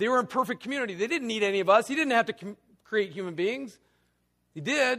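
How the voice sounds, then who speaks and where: A man speaks at a fairly quick pace in a high pitch, his tone bright, sharp and animated. His intonation is lively. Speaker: lay preacher. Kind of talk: sermon.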